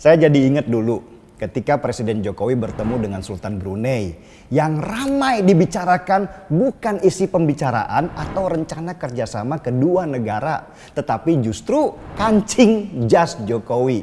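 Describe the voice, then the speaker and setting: With noticeable background noise behind him, a man speaks at a fairly high pitch with very wide pitch swings. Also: moderate pace. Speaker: political commentator. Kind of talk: opinion monologue. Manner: casual.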